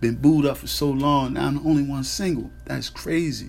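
A man at a moderate pace, with audible room echo. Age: 30s. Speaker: podcast host. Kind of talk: casual monologue. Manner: halting, filler-heavy.

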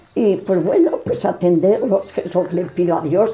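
Against noticeable background noise, the speech moves at a fairly slow pace. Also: woman. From Salamanca, Spain. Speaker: retired shopkeeper interviewee. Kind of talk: interview answers.

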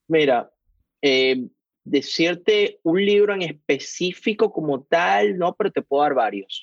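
A man talks at a very slow pace. His high pitch makes very wide swings. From Venezuela, Caracas. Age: 40s. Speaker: investor and financial analyst. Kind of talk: interview. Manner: halting, many repetitions.

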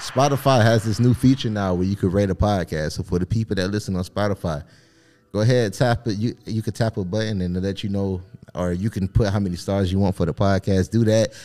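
With music in the background, a man in an American accent talks at a fairly quick pace with ordinary pitch variation. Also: fairly low pitch for a man. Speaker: podcast co-host. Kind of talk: casual banter podcast chat.

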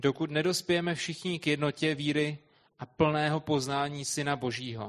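Against a quiet background, a man with an unremarkable speaking voice and a fairly high pitch talks at a fairly slow pace with fairly even intonation. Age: young. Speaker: interpreter. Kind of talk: consecutive interpreting of a sermon.

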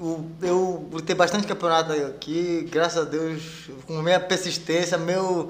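Noticeable background noise accompanies a man speaking at a high pitch and fairly slow pace, with fairly even intonation. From Pará, Brazil, raised in Rondônia from age 8. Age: 40s. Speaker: jiu-jitsu instructor and world champion. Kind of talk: casual interview chat. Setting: studio, live stream.

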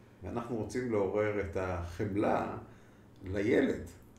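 A man is speaking in a room with audible echo. Noticeable noise runs underneath. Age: 50s. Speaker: clinical psychologist. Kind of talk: interview.

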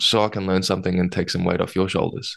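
A man with an Australian accent talks over a quiet background. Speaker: podcast co-host, agile coach. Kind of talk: casual chat.

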